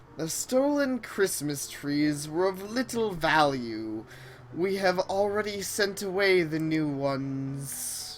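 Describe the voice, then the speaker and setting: Using a put-on character voice, a woman speaks at a fairly low pitch and a fairly slow pace amid clear background noise. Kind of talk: comic overacting. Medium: game stream. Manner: haughty, condescending.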